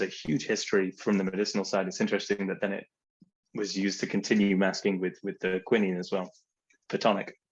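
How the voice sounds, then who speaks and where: A man with an English accent, fairly low in pitch, at a very fast pace. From England. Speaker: spirits brand representative. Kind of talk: casual chat.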